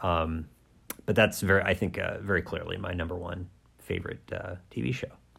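Very deep and low in pitch, a man talks at a fairly quick pace with fairly even intonation and vocal fry. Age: 40s. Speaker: podcast co-host. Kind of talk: casual chat.

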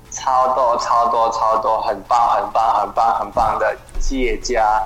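With music in the background, a man speaks at a very slow pace. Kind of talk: casual interview. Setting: remote call.

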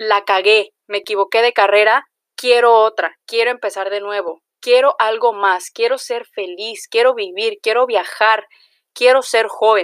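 In a Mexican accent, a woman speaks at a fairly slow pace with a fairly high pitch. Her intonation is fairly even, and the sound is dry and close with no echo. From Mexico, Jalisco. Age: 20s. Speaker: podcaster. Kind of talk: casual monologue.

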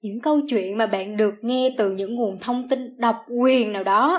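A woman speaks at a fairly slow pace in an animated tone, her fairly high pitch showing ordinary variation, on a very clean recording with a silent background. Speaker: student podcast host, admissions assistant. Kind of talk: casual chat.

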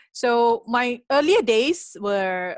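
Recorded with a dry, close sound and no echo, a woman speaks with a Malaysian accent. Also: quiet background. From Malaysia, Penang. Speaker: venture capitalist. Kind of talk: interview. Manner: hesitant with many fillers.

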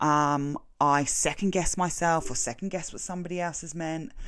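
A woman with an English accent and a very deep, low pitch. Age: 40s. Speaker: podcast host. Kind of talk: solo self-help monologue.

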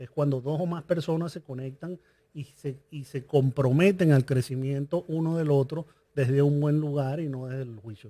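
A man's fairly high voice, dark and mellow, somewhat breathy, at a moderate pace with ordinary pitch variation, on a very clean recording with a silent background. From Venezuela. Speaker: business coach and entrepreneur. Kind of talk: interview conversation.

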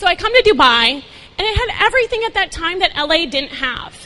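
Over noticeable background noise, a woman speaks at a fairly quick pace in a raised, projected voice. Her pitch swings very widely. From Minnesota. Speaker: talent agency founder. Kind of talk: inspirational talk. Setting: stage with audience.

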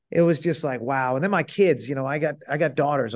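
Over a quiet background, a man with a fairly high pitch speaks in a normal speaking voice. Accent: American. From Massachusetts (Salem). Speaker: sports agent. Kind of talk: interview.

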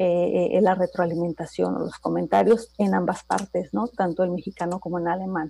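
The tone is dark and mellow. The pace is moderate. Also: woman. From Mexico, Toluca. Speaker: intercultural trainer. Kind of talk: radio interview.

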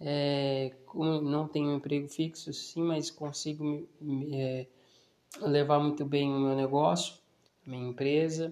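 Speaking very slowly, a man keeps his fairly high pitch in fairly even intonation. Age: 20s. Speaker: podcast host and small business owner. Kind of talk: casual solo monologue. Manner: hesitant, many fillers.

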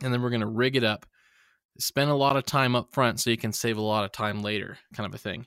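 An unremarkable speaking voice from a man at medium pitch, with ordinary pitch variation and a fairly quick pace, in a dry, close sound with no echo on a very clean recording with a silent background. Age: 30s. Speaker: YouTube tutorial creator. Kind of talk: casual interview.

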